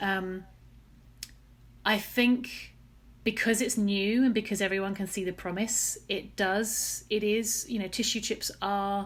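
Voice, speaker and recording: A woman with a southern English accent speaks at a fairly slow pace in a medium pitch, her intonation flat and monotone. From England, Essex (Chelmsford). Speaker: scientist, research program director. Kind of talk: podcast interview.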